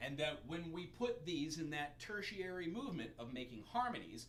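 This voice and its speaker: With very wide pitch swings, a man speaks at a moderate pace amid audible room echo and noticeable background noise. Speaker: music teacher. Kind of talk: music theory livestream lesson. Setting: live stream.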